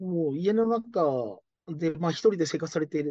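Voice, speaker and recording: A man with a plain, everyday voice speaks at a fairly high pitch and a moderate pace. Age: 40s. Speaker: care business owner. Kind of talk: interview.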